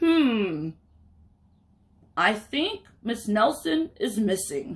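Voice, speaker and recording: This put-on character voice sits at a fairly high pitch. It drags at a very slow pace with very wide pitch swings. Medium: read story. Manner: slow, ponderous.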